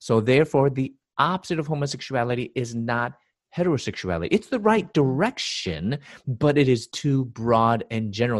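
A man at medium pitch with a Chicago accent, fairly quick pace and lively intonation, over a quiet background. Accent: Chicago American English. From US Midwest, Chicago. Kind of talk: interview.

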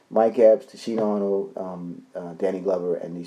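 A man with a New York accent at a moderate pace, with ordinary pitch variation. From New York City (Bronx, Harlem, Queens). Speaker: actor. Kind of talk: casual interview chat.

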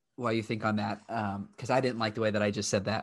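This voice belongs to a man. It is pitched in the medium range. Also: quiet background. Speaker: podcast host and young adult ministry leader. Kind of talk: casual interview on a live stream.

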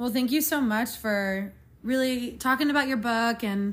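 A woman with an unremarkable speaking voice keeps a moderate pace and ordinary pitch variation. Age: 20s. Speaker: podcast host, physical therapist. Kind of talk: casual interview.

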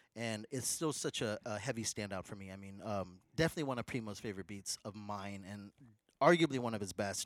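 In a very clean recording with a silent background and a dry, close sound with no echo, a man with a plain, everyday voice talks at a fairly quick pace in a fairly low pitch, with ordinary pitch variation and big swings in loudness. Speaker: podcast co-host. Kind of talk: casual chat. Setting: in-person studio recording.

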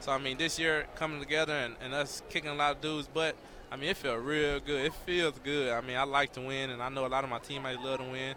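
A man with an American accent, fairly high pitch, and a bright, sharp tone, talking at a very fast pace in monotone, flat intonation. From Texas. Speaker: college football player. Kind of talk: post-game interview.

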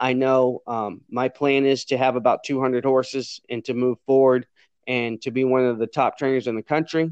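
In a Louisiana accent, the speaker holds a monotone, flat intonation, the sound dry and close with no echo over a quiet background. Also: man, medium pitch for a man, moderate pace. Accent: Southern US (Louisiana). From Louisiana, US South. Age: 40s. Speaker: jockey and racehorse trainer. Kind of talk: interview.

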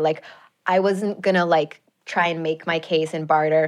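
An unremarkable speaking voice in an American accent, moderate in pace with fairly even intonation. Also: woman, quiet background. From US Midwest, Chicago suburbs. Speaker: journalist and TV/podcast host. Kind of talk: casual interview chat. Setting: studio.

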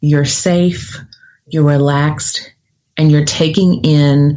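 Calm in tone, a woman with a very deep, low pitch talks very slowly, her intonation fairly even. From US South, Nashville, Tennessee. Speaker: career coach and podcast host. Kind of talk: guided visualization, second-person imagery leading the listener down a forked path. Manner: deliberately slowed, calm pacing with reflective pauses during the visualization.

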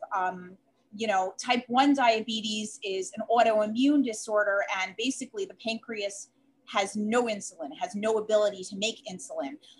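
With a Chicago accent, a woman speaks in a somewhat breathy voice at a moderate pace, her pitch fairly high with ordinary variation. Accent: Chicago Midwestern, noticeable. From Chicago, US Midwest. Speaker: dietitian and diabetes educator. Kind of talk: interview, explaining expertise.

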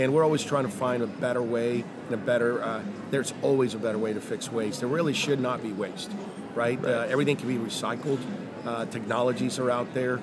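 A man at a very fast pace with fairly even intonation, over noticeable background noise. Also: medium pitch for a man. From Mexico City. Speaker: company founder and CEO. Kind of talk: interview.

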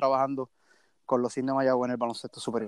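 A man's voice comes through dry and close with no echo. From Puerto Rico, Mayagüez. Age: young. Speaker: sports team social media director. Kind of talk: casual sports chat. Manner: halting, frequent repetitions.

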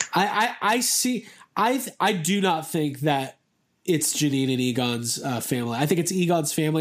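A man speaks with a fairly high pitch. It is an ordinary speaking voice. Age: 30s. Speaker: podcast host. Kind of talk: casual chat.

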